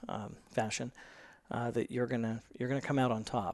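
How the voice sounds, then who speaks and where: A man with an American accent and monotone, flat intonation against a quiet background. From US Pacific Northwest, small-town Washington State. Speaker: explorer and entrepreneur. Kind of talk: interview conversation. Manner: frequent fillers (um, uh).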